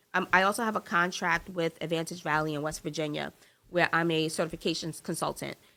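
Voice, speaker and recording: A woman's fairly low, animated voice with an American accent and a bright, sharp tone, delivered at a very fast pace on a very clean recording over a silent background. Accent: New York accent, slips out. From New York. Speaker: business consultant and nonprofit founder. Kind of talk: casual interview.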